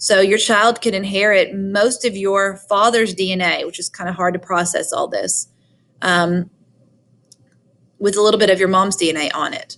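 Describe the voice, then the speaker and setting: A woman speaks with a Southern US accent. Her pitch sits in the medium range. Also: ordinary pitch variation, moderate pace. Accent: Southern twang. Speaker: high school biology teacher. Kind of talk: recorded lecture. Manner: conversational.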